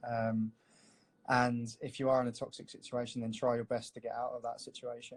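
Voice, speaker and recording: In a London accent, a man of medium pitch speaks fairly quickly with monotone, flat intonation. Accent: London English, milder than cockney. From north-west London. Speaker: tattoo artist. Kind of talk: live-stream drawing chat. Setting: live video stream. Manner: casual, filler-heavy.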